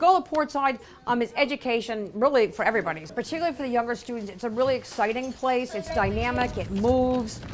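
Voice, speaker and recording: Through noticeable background noise, a woman with an American accent rushes along at a very fast pace with hardly any pauses, her high pitch and intonation lively. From Brooklyn, New York. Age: 60s. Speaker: non-profit founder, maritime advocate. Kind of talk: interview.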